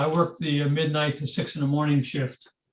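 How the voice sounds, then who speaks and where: A man speaks with a fairly high pitch. His voice is somewhat breathy. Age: 80s+. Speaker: retired field engineer giving a talk. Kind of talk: slide presentation. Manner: hesitant, many fillers.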